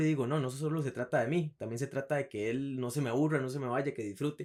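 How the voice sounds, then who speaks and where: The speaker is a man with a very fast pace. His pitch shows ordinary variation. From Costa Rica, Alajuela. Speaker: writer. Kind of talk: casual interview. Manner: energetic.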